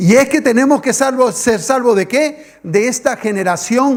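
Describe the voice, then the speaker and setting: In an animated tone, a man with an extremely high pitch speaks at a moderate pace with ordinary pitch variation over noticeable background noise. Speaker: pastor. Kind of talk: sermon.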